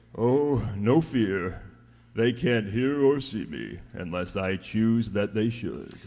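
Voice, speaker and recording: A man puts on a gruff character voice at a medium pitch, speaking at a very slow pace. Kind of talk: 1940s radio acting. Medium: old radio play. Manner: gruff, blunt, salty sea language.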